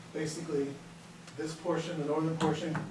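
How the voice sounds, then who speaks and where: A man speaks in a monotone with flat intonation, his pitch fairly high for a man, at a moderate pace. Room echo is audible and background noise is noticeable. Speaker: civil engineer presenting a development. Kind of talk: public meeting presentation. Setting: town council meeting. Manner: hesitant, many fillers; loud without mic. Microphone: speaking without microphone, was too close.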